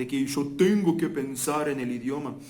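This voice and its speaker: Audible room echo surrounds a man speaking with a Portuguese accent. His pitch varies in an ordinary way. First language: Portuguese (speaking Spanish). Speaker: language teacher. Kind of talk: casual talk to camera. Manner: halting.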